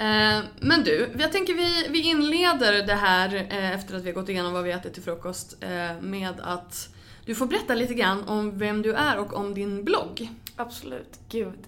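Her tone is bright and sharp, with a medium pitch and very wide pitch swings. The woman keeps a moderate pace amid audible room echo. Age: 30s. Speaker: podcast host. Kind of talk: interview; podcast intro.

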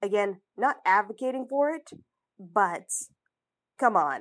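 This woman's intonation is lively. Her pace is fairly slow. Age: 20s. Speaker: fiction writer and podcaster. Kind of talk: casual advice monologue. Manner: halting, with frequent laughs.

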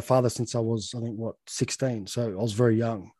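A man with an Australian accent talks at medium pitch and a moderate pace in a dry, close recording with no echo. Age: 20s. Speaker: podcast host. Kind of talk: casual interview chat.

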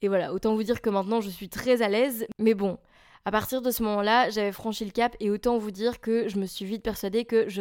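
Speaking at a fairly quick pace, a woman with a medium pitch keeps her intonation fairly even over a very clean recording with a silent background. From Belgium, near Charleroi. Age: 20s. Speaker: podcaster and musician. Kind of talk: casual monologue.

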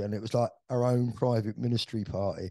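With a London accent, a man speaks in a dark, mellow tone, the sound dry and close with no echo against a quiet background. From West London, England. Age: 60s. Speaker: veteran club DJ. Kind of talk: interview storytelling.

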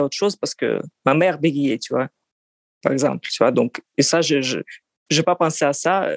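The woman speaks with a Russian accent. Her sound is dry and close, with no echo. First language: Russian (speaking French). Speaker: psychoanalyst. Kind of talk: interview testimony. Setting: call. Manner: halting.

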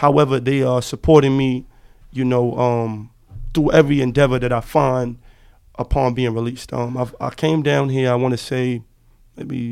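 In an ordinary speaking voice, a man with an American accent talks at a fairly quick pace, with medium pitch and fairly even intonation. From Harlem, New York City. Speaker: former prisoner, college student. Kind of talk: interview. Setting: podcast studio.

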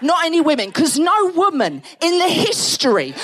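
With an Essex accent, a woman talks at a high pitch against noticeable background noise. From Essex, England. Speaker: comedian. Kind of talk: stand-up. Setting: stage with audience.

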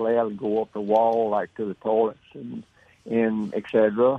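In a Southern US accent, a man speaks at a medium pitch with monotone, flat intonation. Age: 80s. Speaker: caller. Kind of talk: casual chat. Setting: phone call.

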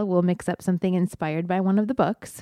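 Dark, mellow female voice at medium pitch and moderate pace, dry and close with no echo. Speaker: podcast co-host and teacher. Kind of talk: casual chat.

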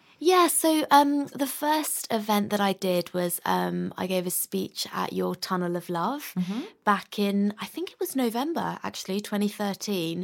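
Speaking in a London accent, a woman goes at a fairly slow pace with hardly any pauses. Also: medium pitch for a woman, lively intonation, big swings in loudness. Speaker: musician and DJ. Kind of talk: interview.

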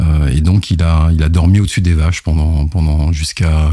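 Over noticeable background noise, a man speaks at a moderate pace with a very deep, low pitch and fairly even intonation. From France, partly raised in Madagascar. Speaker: IT operations executive. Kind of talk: interview. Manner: halting, frequent repetitions.

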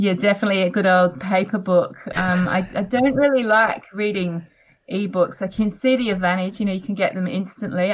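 A somewhat breathy woman at a fairly quick pace, ordinary pitch variation, very clean recording and silent background. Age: 40s. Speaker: author. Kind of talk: interview.

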